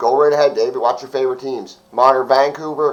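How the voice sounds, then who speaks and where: Fairly high-pitched male voice with fairly even intonation. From Canada, Ottawa Valley. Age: 30s. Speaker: hockey streamer. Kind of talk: live stream chat. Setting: live stream at home. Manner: casual, conversational.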